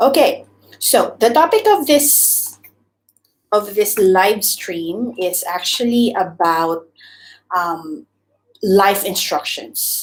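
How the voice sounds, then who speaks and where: With a Visayan Filipino accent, a woman speaks at a very slow pace and medium pitch, using lively intonation and long, frequent pauses. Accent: Filipino (Cebuano) English. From Philippines, Cebu. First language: Cebuano (Bisaya). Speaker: YouTuber, former teacher. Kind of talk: live stream chat. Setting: live stream. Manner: hesitant, filler-heavy.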